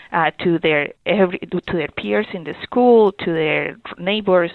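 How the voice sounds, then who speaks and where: A woman with a Spanish accent speaks at a moderate pace, her fairly low voice carrying lively intonation. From Colombia. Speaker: youth ministry director. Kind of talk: interview. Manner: halting.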